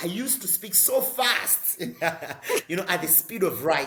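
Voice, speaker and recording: A man speaks in a raised, projected voice at an extremely high pitch with ordinary pitch variation. Noticeable background noise runs under him. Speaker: social entrepreneur and climate advocate. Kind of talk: interview. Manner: fast.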